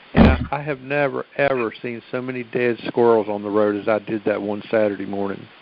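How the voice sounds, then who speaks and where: A man of medium pitch speaks with a Southern US accent and ordinary pitch variation. He goes at a fairly quick pace against noticeable background noise. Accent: Southern twang. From US South, Virginia. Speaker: caller. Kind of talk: casual chat. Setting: phone conference.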